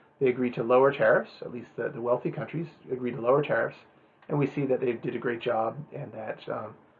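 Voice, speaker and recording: A man talks at a very fast pace in a medium-pitched voice with fairly even intonation. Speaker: professor. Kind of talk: lecture. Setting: recorded lecture with slides. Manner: hesitant, many fillers.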